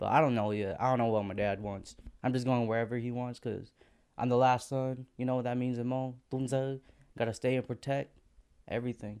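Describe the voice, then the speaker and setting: This man has an unremarkable speaking voice and an American accent. He speaks at a fairly quick pace with medium pitch and fairly even intonation. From North Carolina, then Alaska. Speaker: podcast guest. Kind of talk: casual chat.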